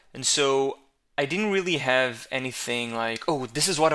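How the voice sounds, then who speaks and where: Bright and sharp in tone, a man speaks with an Israeli accent. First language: Hebrew. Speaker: videographer. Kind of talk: solo podcast monologue. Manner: hesitant, with fillers and repetitions.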